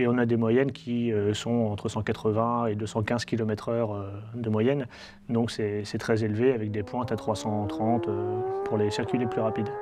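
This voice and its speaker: A man's medium-pitched voice with fairly even intonation, set against noticeable background noise. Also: moderate pace. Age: 30s. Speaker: motorcycle road racer. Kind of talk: interview. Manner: hesitant, many fillers.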